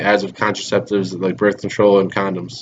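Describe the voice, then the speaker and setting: This man talks at a fairly quick pace. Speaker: student. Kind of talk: oral presentation of a research paper. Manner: fast.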